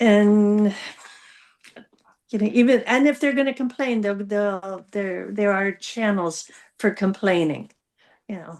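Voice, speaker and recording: Against a quiet background, a woman in an American accent speaks at medium pitch and a fairly slow pace, with ordinary pitch variation and long, frequent pauses. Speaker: panel guest. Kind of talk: casual discussion. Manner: halting, many fillers and restarts.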